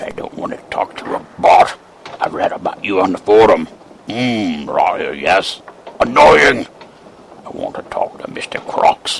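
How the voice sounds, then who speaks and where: Whispering in a put-on character voice, a man speaks fairly slowly in a sinister tone, with long, frequent pauses. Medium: audio drama. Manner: whispering, sinister.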